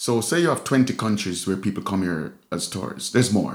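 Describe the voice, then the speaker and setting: Speaking at a very fast pace, a man with a medium pitch uses lively intonation. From Jamaica. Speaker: street artist and musician. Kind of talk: casual chat.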